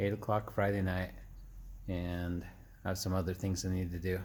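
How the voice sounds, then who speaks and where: Somewhat breathy speech comes at a fairly slow pace with audible room echo. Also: man. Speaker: DIY garage vlogger. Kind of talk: casual vlog narration. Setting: home garage.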